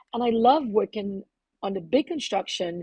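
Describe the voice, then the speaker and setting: A woman with a Trinidadian accent and a dark, mellow tone, in a dry, close sound with no echo. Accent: Trinidadian accent, unchanged. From Trinidad and Tobago. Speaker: plumber and activist. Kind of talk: podcast interview.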